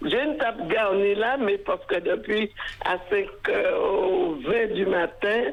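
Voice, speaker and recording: A woman at a very slow pace with very wide pitch swings, over noticeable background noise. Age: 80s+. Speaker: caller, faithful listener celebrating birthday. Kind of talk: casual chat.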